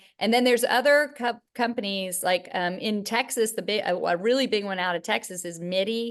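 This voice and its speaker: A woman with a Charleston accent and a fairly high pitch. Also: ordinary pitch variation, fairly quick pace, hardly any pauses. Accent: Southern US, Charleston. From US South, Charleston, South Carolina. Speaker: gynecologist. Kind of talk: interview. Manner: halting, many fillers.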